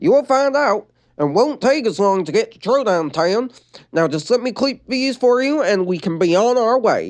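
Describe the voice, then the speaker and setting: At a moderate pace, someone performs a put-on character voice with a fairly high pitch. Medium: read story. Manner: polite, reassuring.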